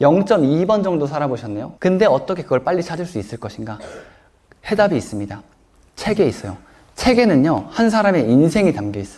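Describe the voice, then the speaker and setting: A man talks at a fairly high pitch that swings very widely up and down. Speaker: author and self-help speaker. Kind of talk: lecture Q&A with audience.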